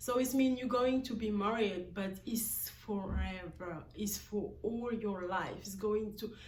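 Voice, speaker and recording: A woman speaks with fairly even intonation. Audible room echo and noticeable background noise come through. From Guinea-Bissau, West Africa. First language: a Guinea-Bissau language, not English. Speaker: vlogger. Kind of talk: personal vlog monologue. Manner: halting, with many fillers.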